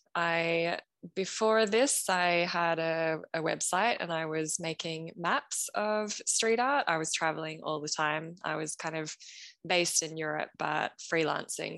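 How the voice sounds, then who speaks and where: At a fairly slow pace, an ordinary speaking voice with ordinary pitch variation is heard against a quiet background. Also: woman. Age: 30s. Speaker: street art fan and copywriter. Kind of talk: casual chat.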